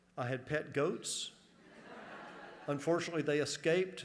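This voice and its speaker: The room echo is audible as a man speaks with an American accent. His pitch is fairly high, his pace moderate, and his intonation fairly even. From US South, northern Georgia. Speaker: college administrator. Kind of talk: convocation speech. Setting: stage with audience. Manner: humorous, conversational.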